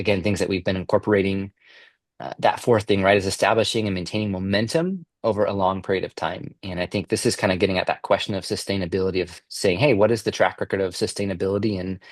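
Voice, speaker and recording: Very fast speech comes from a man with fairly even intonation. The sound is dry and close with no echo, and the background is quiet. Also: fairly low pitch for a man. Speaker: peer-group facilitator and business coach. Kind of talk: online informational presentation. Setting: live online session, also recorded. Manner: casual, many filler words.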